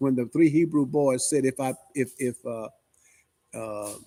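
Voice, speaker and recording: A man's dark, mellow tone with ordinary pitch variation, a dry, close sound with no echo, and a very clean recording against a silent background. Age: 70s. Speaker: pastor. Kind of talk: sermon. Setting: church. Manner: animated.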